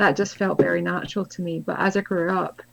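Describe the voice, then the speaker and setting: The speaker is a woman with a Scottish accent. She talks at a moderate pace. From Scotland. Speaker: spiritual author and healer. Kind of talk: interview conversation.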